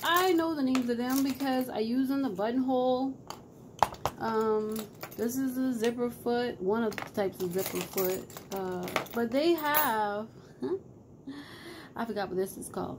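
With noticeable background noise, a woman speaks at a moderate pace, leaving long, frequent pauses. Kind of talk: casual vlog chat. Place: home room. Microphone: phone near.

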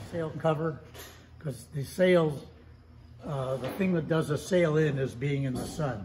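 Over light background noise, a man talks fairly slowly at a fairly high pitch, somewhat breathy, with ordinary pitch variation and long, frequent pauses. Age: 90s. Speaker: sailmaker. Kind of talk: casual interview. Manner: hesitant. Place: workshop. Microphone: phone near.

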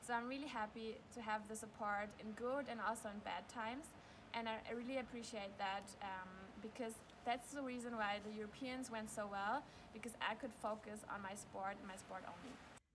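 Over noticeable background noise, a woman with a fairly high pitch talks at a moderate pace with fairly even intonation. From Germany. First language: German. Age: 20s. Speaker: speed skater. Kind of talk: sponsor video testimonial. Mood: grateful, calm. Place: stadium. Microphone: phone near.

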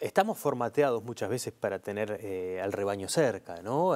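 In a Rioplatense accent, a man talks at a fairly quick pace with a fairly low pitch. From Uruguay. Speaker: TV interviewer. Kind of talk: interview. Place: studio. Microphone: lapel.

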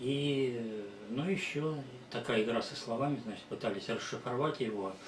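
There is audible room echo and light background noise as a man speaks with ordinary pitch variation. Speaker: presenter. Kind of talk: presentation talk. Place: home room. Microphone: camera far.

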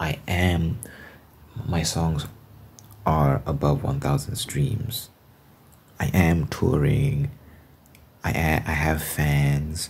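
The delivery is very slow, broken by long, frequent pauses. Its intonation stays lively throughout. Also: man, very deep, low pitch for a man. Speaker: ASMR creator. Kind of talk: ASMR ramble, casual talk to camera. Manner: reflective, conversational. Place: home room. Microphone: phone near.

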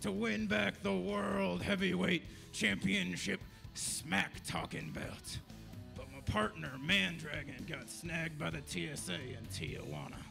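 Over clear music in the background, a man with a fairly low pitch speaks at a fairly slow pace. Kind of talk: pro wrestling promo trash talk. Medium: stage play. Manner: blustering, boastful, insulting.

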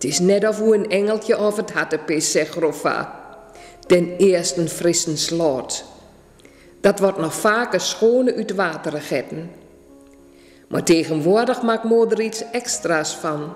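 In an Achterhoek accent, a woman speaks fairly slowly at a medium pitch with ordinary pitch variation, audible room echo, and faint music in the background. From Achterhoek, eastern Netherlands. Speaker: dialect author and reciter. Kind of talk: dialect story reading. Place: home room.

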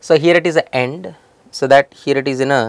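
The man's pitch varies in an ordinary way, and the sound is dry with no echo. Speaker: programming instructor. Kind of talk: tutorial. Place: studio.

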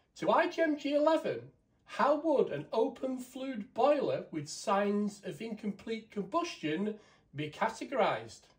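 A man with a high pitch speaks at a fairly slow pace, making big pitch swings amid audible room echo.

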